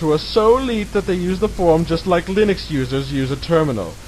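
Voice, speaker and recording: A man with a fairly high pitch speaks in a dramatic tone over noticeable background noise. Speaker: reader of an online article, channel owner. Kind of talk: dramatic reading of a mocking web article. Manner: mock-dramatic, sarcastic.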